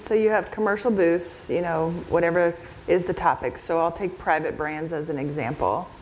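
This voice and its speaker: Her fairly low voice moves with lively intonation at a moderate pace, and audible room echo surrounds this woman. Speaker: event organizer presenting at a conference. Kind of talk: conference presentation with audience Q&A.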